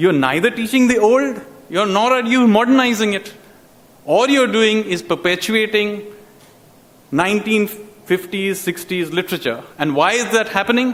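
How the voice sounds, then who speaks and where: Over noticeable background noise, a man with a Bengali accent and a high pitch speaks at a moderate pace with ordinary pitch variation. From India, Calcutta. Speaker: public speaker on education. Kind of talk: public talk.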